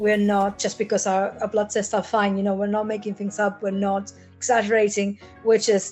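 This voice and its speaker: Over music in the background, a woman talks at a moderate pace with a fairly high pitch. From Argentina. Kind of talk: podcast interview answer.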